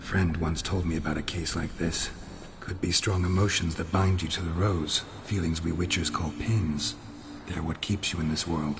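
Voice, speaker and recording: Over loud background noise, a man uses a put-on character voice with a very deep, low pitch at a moderate pace. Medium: machinima. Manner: terse, low-key.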